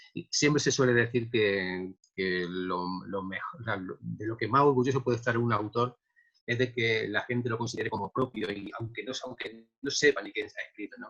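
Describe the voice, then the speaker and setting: Male speech of medium pitch, moderate pace and ordinary pitch variation. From Andalusia, Córdoba (Spain). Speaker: poet. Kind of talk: interview. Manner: halting, many repetitions.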